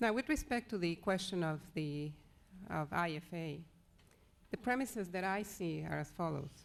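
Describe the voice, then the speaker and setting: A soft-spoken woman talks at a moderate pace, her fairly low voice carrying lively intonation. She leaves long, frequent pauses, and the recording is very clean with a silent background. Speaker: lawyer. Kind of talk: conference presentation. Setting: legal education seminar with audience.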